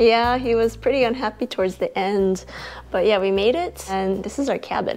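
Ordinary pitch variation from a woman, moderate in pace. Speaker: travel vlogger mother. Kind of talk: casual vlog chat. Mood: cheerful, playful. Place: home room. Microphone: lapel.

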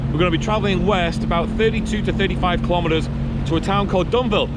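Loud background noise surrounds a man speaking at a very fast pace, the sound dry with no echo. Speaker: vlogger. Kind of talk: casual vlog chat. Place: boat. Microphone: phone near.

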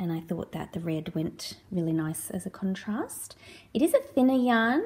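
A woman's somewhat breathy voice, dark and mellow in tone, moves at a moderate pace. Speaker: knitting podcaster. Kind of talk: casual vlog chat. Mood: relaxed, friendly. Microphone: phone near.

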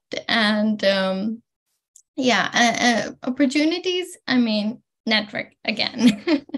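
With lively intonation and a fairly high pitch, a woman speaks at a very slow pace against a quiet background. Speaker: PhD student; webinar panelist. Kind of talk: panel discussion. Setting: video call. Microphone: video call.

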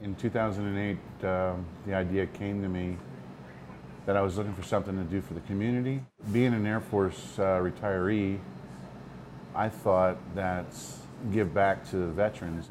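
With fairly low pitch and fairly even intonation, a man speaks at a moderate pace with long, frequent pauses amid noticeable background noise. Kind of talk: interview answer. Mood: calm, earnest. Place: bar.

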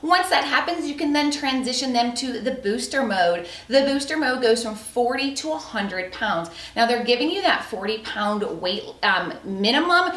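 Audible room echo carries a woman's high voice as she speaks at a fairly slow pace. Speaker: product reviewer. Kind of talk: product review presentation. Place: home room.

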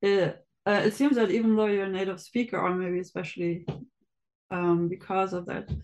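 A woman's medium-pitched voice with a slightly mellow tone, little pitch movement and a moderate pace.

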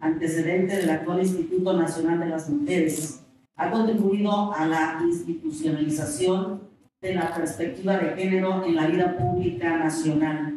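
A woman talks at a moderate pace amid strong room echo and light background noise. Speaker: panel moderator. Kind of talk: moderated panel discussion. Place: hall.

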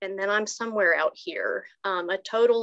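At a medium pitch, a woman speaks with fairly even intonation at a moderate pace. The background is quiet. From Watauga County, North Carolina. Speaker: recovery program coordinator. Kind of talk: personal testimony. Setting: video call. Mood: reflective, earnest. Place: home room. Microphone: video call.

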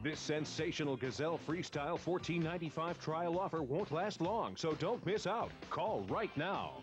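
With music in the background, a man talks with hardly any pauses, using a fairly high pitch and ordinary pitch variation. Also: moderate pace, very even loudness. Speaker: announcer. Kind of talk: TV commercial voice-over.

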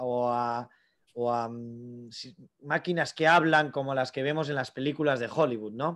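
Ordinary pitch variation from a man against a quiet background. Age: 30s. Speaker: AI entrepreneur; invited lecturer. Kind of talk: lecture. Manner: halting. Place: office. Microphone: video call.

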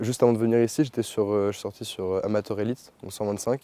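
A man's fairly low-pitched voice has a dark, mellow tone and fairly even intonation, with a dry sound and no echo. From France, Chartres; France. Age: young. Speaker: equestrian trainee. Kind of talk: testimony. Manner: halting, many fillers. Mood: calm, pleased. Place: open country.

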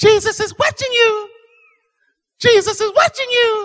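A put-on character voice, shrill and extremely high-pitched, at a moderate pace.

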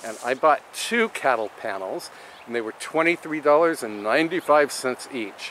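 Recorded with a dry sound with no echo and light background noise, a man speaks with ordinary pitch variation. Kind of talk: tutorial. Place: garden. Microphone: phone near.

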